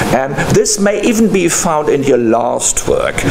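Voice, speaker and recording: There is noticeable background noise. A man talks at a fairly slow pace. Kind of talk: speech introducing a speaker. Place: meeting room.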